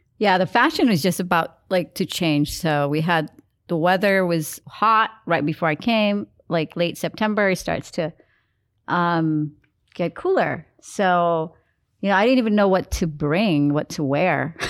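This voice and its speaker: On a very clean recording with a silent background, a woman speaks in a plain, everyday voice, fairly low in pitch, at a fairly slow pace, with very even loudness and ordinary pitch variation. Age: 50s. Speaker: podcast co-host. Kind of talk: casual chat.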